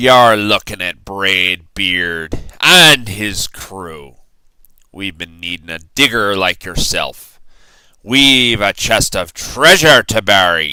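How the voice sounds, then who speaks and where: A man's loud, bellowing, raspy put-on character voice, fairly low in pitch and very slow, in a very clean recording with a silent background. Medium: read story.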